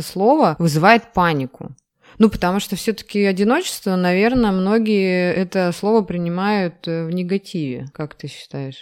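Her intonation lively, a woman speaks at medium pitch and a moderate pace. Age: 30s. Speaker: podcast co-host. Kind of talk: casual chat.

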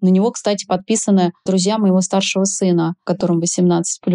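A woman's dark, mellow tone with monotone, flat intonation. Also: dry, close sound with no echo. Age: 40s. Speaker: sexologist and tantric massage practitioner. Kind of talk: interview.

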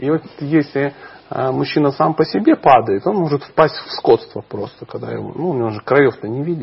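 A man with an unremarkable speaking voice talks at a moderate pace and a fairly high pitch. His pitch varies in an ordinary way while his loudness swings widely. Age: 40s. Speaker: spiritual teacher. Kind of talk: interview.

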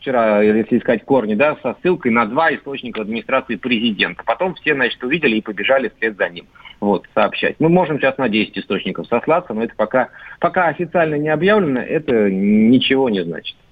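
Lively intonation marks a man with an unremarkable speaking voice. His pitch is medium and his pace fairly quick. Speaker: political commentator. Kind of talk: radio discussion. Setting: phone call.

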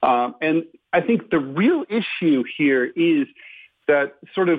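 Here a man talks at a very slow pace. His pitch variation is ordinary. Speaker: political cartoonist and columnist. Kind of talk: radio interview. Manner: halting.

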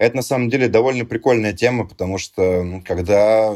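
A man speaks at a fairly quick pace in a fairly low, dark, mellow voice. His pitch varies in an ordinary way. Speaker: musician and DJ. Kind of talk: casual chat. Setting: remote recording.

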